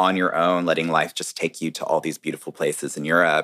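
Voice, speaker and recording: An American man speaks with a very deep, low pitch in a dry, close sound with no echo, on a very clean recording with a silent background. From North Carolina, US. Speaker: hair and makeup artist. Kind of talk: casual chat, podcast interview.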